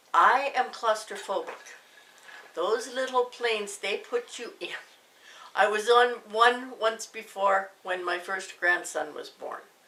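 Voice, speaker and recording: Speaking at a very slow pace with a Canadian accent, a woman shows big swings in loudness and ordinary pitch variation over noticeable background noise. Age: 60s. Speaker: YouTuber recovering from a heart attack. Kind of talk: casual personal testimony. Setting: home living room.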